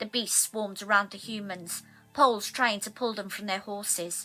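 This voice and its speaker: A bright, sharp tone in a Welsh accent at a moderate pace, with fairly even intonation. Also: woman. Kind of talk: abridged audiobook reading.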